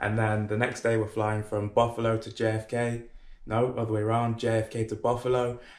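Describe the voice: A man with a fairly low pitch talks at a fairly quick pace in a monotone, flat intonation.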